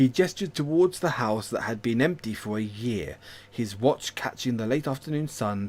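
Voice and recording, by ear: A voice reading aloud in a natural voice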